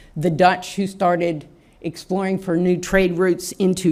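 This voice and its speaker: Speaking with an American accent, this woman has an ordinary speaking voice. Her pitch is fairly low and her pace fairly slow. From US South, Shreveport Louisiana. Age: 60s. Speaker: anthropology professor. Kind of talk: lecture.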